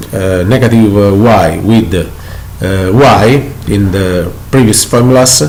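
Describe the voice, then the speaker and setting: Speaking at a very slow pace in an Italian accent, a man uses ordinary pitch variation. Audible room echo and noticeable background noise fill the recording. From Italy. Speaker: math teacher. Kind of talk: lecture. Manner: halting.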